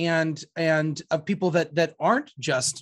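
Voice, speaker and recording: Against a quiet background, a man speaks at a fairly high pitch in a somewhat breathy voice. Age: 40s. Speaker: priest and podcast host. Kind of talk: casual interview.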